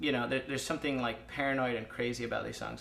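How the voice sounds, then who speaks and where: A man speaks at a very fast pace with vocal fry and fairly even intonation. The room echo is audible. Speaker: lead singer of an indie rock band. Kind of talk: casual interview. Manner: fast, filler-heavy.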